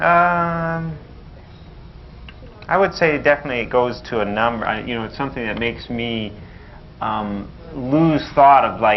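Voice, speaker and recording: A man's medium-pitched voice at a moderate pace, lively in intonation, with long, frequent pauses and audible room echo. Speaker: audience volunteer. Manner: stutters at times.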